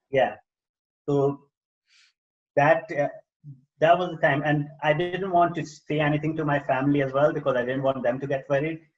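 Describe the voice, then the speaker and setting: Somewhat breathy male voice, fairly high in pitch, with monotone, flat intonation, a moderate pace and long, frequent pauses. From India. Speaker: personal development coach and author. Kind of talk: podcast interview. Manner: halting, many fillers.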